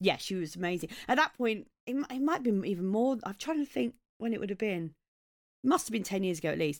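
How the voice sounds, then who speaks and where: With a southeast English accent, a woman speaks at a fairly quick pace with lively intonation. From southeast England, Maidstone in Kent. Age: 40s. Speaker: comedian. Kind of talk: casual chat.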